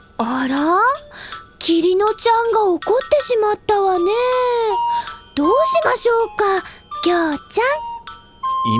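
A woman uses a put-on character voice at an extremely high pitch and a fairly slow pace. Loud music plays in the background. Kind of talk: polite feminine speech. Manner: sweet, teasing.

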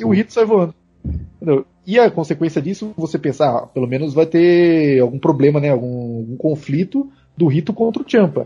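Lively intonation runs through a man's fairly high voice, which has a dark, mellow tone. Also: moderate pace. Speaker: podcast co-host. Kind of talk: casual chat.

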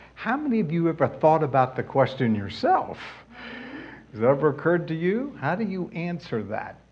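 In a room with audible echo, a man with a fairly high voice makes very wide pitch swings at a moderate pace. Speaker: Bible teacher. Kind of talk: sermon.

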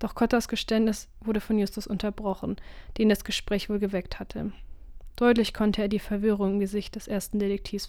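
The text is read aloud. The reading voice sounds natural.

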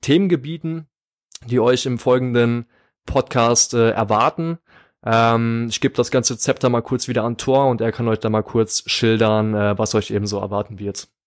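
In a very clean recording with a silent background and a dry, close sound with no echo, a man speaks at a fairly slow pace in an ordinary speaking voice, at medium pitch with ordinary pitch variation. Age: 20s. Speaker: podcast co-host, psychology student. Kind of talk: casual podcast chat.

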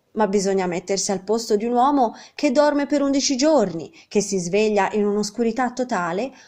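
A text is being read aloud. The reading voice sounds natural.

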